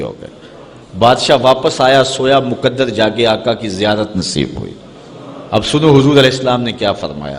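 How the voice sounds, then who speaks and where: A man's medium-pitched voice comes through with noticeable noise behind it. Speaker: Islamic preacher giving a sermon. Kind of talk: religious sermon (bayan), emotional preaching.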